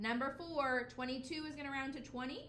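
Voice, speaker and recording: Over noticeable background noise and audible room echo, a woman talks at a fairly quick pace in a high voice. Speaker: elementary school teacher. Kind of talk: math tutorial.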